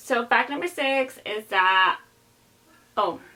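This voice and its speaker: A woman speaks with a Spanish accent. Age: 20s. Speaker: YouTuber. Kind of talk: casual vlog chat. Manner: casual, filler-heavy.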